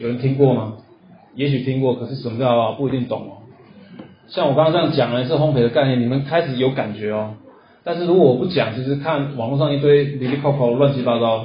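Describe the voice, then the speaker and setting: Spoken very fast in a Taiwanese accent, the voice keeps a fairly even intonation, with audible echo in the room. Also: man, medium pitch for a man. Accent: Taiwanese Mandarin. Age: 40s. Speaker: coffee roasting instructor. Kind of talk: lecture. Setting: classroom with audience.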